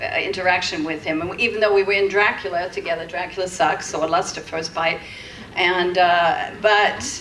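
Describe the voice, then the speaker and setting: A woman talks at a moderate pace while noticeable noise fills the background. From Britain. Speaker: former adult film actress, spiritual counselor. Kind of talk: convention panel discussion.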